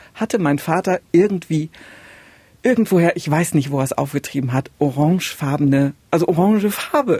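With a dark, mellow tone and lively intonation, a woman speaks at a moderate pace in a fairly low voice, the sound dry and close with no echo. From East Germany, Saxony-Anhalt border area. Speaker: radio podcast host. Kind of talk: casual chat.

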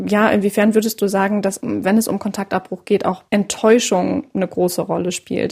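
A woman speaks at medium pitch with vocal fry and fairly even intonation. Her pace is moderate, with hardly any pauses. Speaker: podcast host and journalist. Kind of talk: interview.

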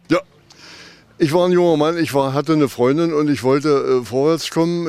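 A man with a fairly high-pitched voice speaks at a fairly quick pace with monotone, flat intonation. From eastern Germany, Wittenberg/Jessen area. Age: 80s+. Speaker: eyewitness. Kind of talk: interview. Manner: hesitant with many fillers.

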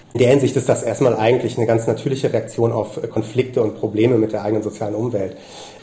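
Against noticeable background noise, a man rattles along at a very fast pace with hardly any pauses, his medium-pitched voice monotone and flat. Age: young. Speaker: sociologist. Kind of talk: interview. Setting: remote call. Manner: halting, many fillers.

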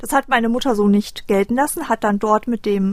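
A fairly quick pace with ordinary pitch variation. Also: woman. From Düsseldorf, Germany. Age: 30s. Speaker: abuse survivor. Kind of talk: testimony. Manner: hesitant, many fillers.

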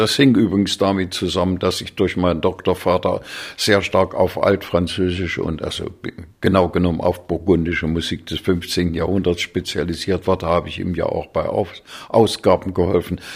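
In a very clean recording with a silent background, a man with a very deep, low voice talks at a moderate pace with fairly even intonation. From Thuringia, Germany (Weimar). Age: 80s+. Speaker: conductor and musicologist. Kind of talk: interview. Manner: hesitant, many fillers.

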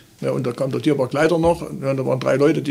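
A man talks at a very fast pace. There's noticeable background noise behind him. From Saxony, Limbach-Oberfrohna. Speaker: retired zoo veterinarian. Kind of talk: interview. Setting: zoo school room.

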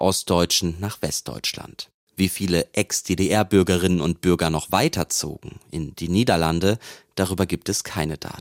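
On a very clean recording with a silent background and a dry, close sound with no echo, a man speaks at a fairly slow pace in a very deep, low pitch. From western Germany. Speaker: radio reporter. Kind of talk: scripted narration.

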